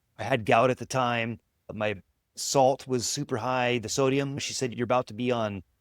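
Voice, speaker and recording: An ordinary speaking voice, this man has a medium pitch, fairly even intonation and a moderate pace, recorded in a dry, close sound with no echo. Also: very clean recording, silent background. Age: 40s. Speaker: vegan podcast host. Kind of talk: casual interview conversation.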